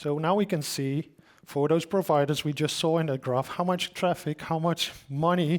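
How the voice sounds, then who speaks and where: The recording is very clean and the background silent. A man talks at a moderate pace with a fairly high pitch and fairly even intonation. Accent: Dutch. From Netherlands. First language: Dutch. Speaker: solution engineer. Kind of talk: conference talk. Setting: stage with audience. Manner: casual, joking.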